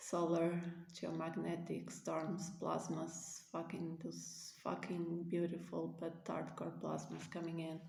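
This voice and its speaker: Speaking at a fairly slow pace with a non-native accent, a woman is heard with audible room echo. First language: not English. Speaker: spiritual vlogger. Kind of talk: casual monologue to camera. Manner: halting, many fillers.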